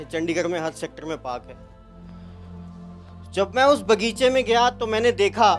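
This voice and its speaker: A man with a high pitch speaks in a passionate tone with lively intonation. Long, frequent pauses break up his speech as music plays in the background. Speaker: motivational speaker. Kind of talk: motivational speech to college students. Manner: passionate, rousing.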